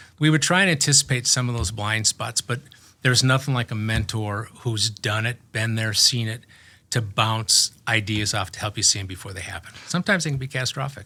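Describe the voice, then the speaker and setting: The man speaks with an American accent and ordinary pitch variation. His tone is bright and sharp. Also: medium pitch for a man, fairly quick pace, very clean recording, silent background. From Minnesota, US Midwest. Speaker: manufacturing executive. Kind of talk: interview conversation. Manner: halting, with frequent restarts.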